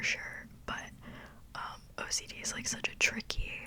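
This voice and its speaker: This woman speaks in a whisper. There is noticeable background noise. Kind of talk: ASMR whisper ramble. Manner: whispered; casual, rambling.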